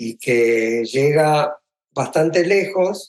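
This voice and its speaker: A man with an Argentine accent, fairly high in pitch, with ordinary pitch variation. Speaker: film composer. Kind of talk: interview.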